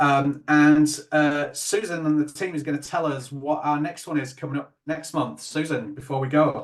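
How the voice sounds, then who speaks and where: With a Yorkshire accent, a man talks with fairly even intonation and hardly any pauses. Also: fairly high pitch for a man, moderate pace. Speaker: webinar host. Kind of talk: webinar closing remarks.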